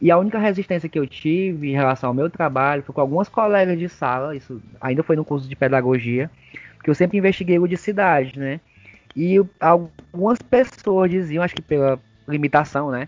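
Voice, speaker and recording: The man has a plain, everyday voice, fairly high in pitch. He moves at a fairly quick pace with ordinary pitch variation. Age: 30s. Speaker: kindergarten teacher. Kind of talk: casual interview.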